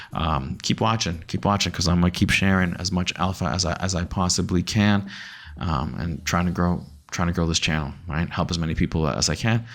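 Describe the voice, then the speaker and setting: A man with an American accent speaks fairly quickly in a very deep, low voice with vocal fry. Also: ordinary pitch variation. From US Northeast, Massachusetts. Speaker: crypto YouTuber. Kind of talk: market analysis vlog. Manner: casual, repetitive with false starts; animated.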